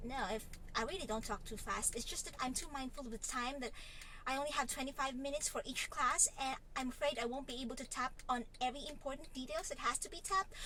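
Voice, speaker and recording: Over noticeable background noise, a woman talks at a fairly quick pace in a raised, projected voice that swings very widely in pitch. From Philippines, Lipa City, Batangas. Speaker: vlogger and online English tutor. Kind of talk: casual vlog.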